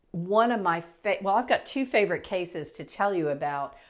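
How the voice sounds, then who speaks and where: A woman with a fairly low pitch speaks at a moderate pace, with ordinary pitch variation and a normal speaking voice. The recording is very clean with a silent background. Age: 60s. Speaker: natural health practitioner. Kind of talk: casual explainer talk to camera. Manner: conversational, with fillers and restarts.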